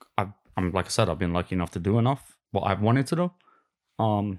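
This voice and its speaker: Over a very clean, silent background, a man with a Cockney accent speaks at a fairly low pitch and a very fast pace. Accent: Cockney London English. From London, England. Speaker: guest. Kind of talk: casual interview chat.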